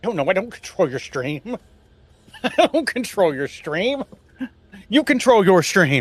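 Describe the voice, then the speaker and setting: With music in the background, the voice moves at a fairly slow pace, its pitch swinging very widely, with long, frequent pauses and a dry, close sound with no echo. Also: man, high pitch for a man. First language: German. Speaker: streamer. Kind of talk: casual chat.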